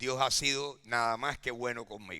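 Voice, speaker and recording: Talking very slowly at a medium pitch, a man has a bright, sharp tone in a very clean recording with a silent background. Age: 70s. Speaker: pastor. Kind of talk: sermon. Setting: church.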